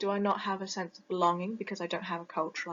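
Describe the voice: With a British accent, a woman speaks at a fairly low pitch in a fairly bright tone with a slightly husky edge and little pitch movement. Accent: British, Received Pronunciation.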